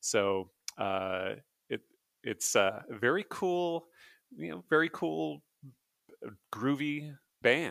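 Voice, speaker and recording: A man with a medium-pitched voice speaks at a very slow pace, leaving long, frequent pauses. His pitch swings very widely. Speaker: podcast host. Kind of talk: casual chat.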